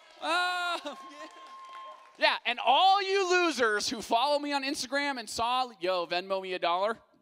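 At a moderate pace, a man speaks in a raised, projected voice. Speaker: youth pastor. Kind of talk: sermon. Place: stage. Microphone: handheld.

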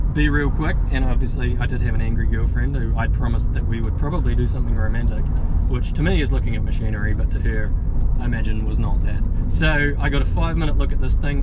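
The speech comes at a very fast pace over loud background noise. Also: man. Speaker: machinery restorer vlogger. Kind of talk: casual vlog chat. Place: car. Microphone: phone near.

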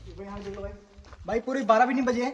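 A man speaks at a fast pace in a high voice. There is audible echo in the room. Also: ordinary pitch variation.

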